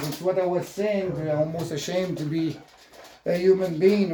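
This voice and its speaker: A man with a French Canadian accent, high-pitched, with fairly even intonation. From Quebec. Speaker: vlogger, ex-firefighter. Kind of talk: casual vlog monologue. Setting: at home with dogs. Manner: halting, many fillers.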